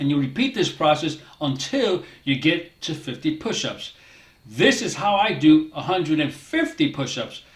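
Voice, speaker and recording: A man with a normal speaking voice talks at a fairly slow pace, his fairly high pitch carried by lively intonation. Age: 60s. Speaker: fitness motivation creator, cybersecurity worker. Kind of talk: casual talk to camera. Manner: motivational, conversational.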